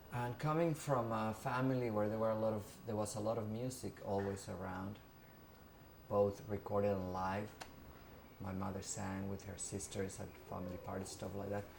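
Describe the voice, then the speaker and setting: A man with a fairly low pitch speaks at a moderate pace, leaving long, frequent pauses. His intonation is fairly even, and audible room echo surrounds him. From Mexico. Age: 50s. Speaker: interviewee recounting music history. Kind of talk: oral history interview. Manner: hesitant, many fillers.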